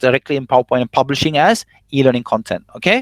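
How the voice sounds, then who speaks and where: The man speaks at a very fast pace. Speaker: eLearning trainer. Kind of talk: online workshop tutorial. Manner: fast when excited; animated.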